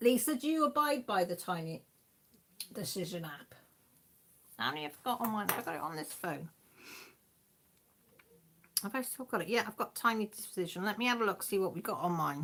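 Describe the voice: A woman speaks at a moderate pace with a medium pitch and a fairly bright tone. Her intonation is lively, broken up by long, frequent pauses.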